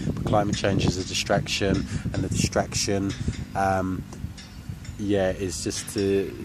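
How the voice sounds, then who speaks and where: A man talks in a fairly low pitch with an English accent. His pace is moderate, with noticeable background noise. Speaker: vlogger. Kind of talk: casual vlog rant. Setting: outdoors in a park. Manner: monotone; hesitant, many fillers.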